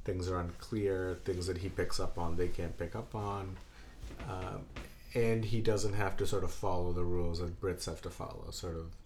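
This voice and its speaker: Somewhat breathy delivery at a moderate pace with fairly even intonation. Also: man, very deep, low pitch for a man. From born in Belgium. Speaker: podcast host. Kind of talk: casual chat. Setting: indoors, home recording.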